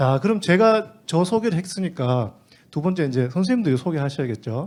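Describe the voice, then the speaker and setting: A man speaks with a Gyeongsang accent at a fairly quick pace. His voice is somewhat breathy, with very wide pitch swings. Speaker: teacher training instructor. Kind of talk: teacher training lecture. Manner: fast.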